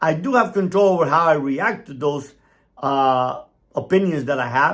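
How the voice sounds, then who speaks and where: In a Cuban-American accent, a man with a fairly high voice speaks at a moderate pace, his tone animated and his intonation lively, on a very clean recording with a silent background. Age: 60s. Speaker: motivational speaker, former cartel member. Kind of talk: opinion monologue.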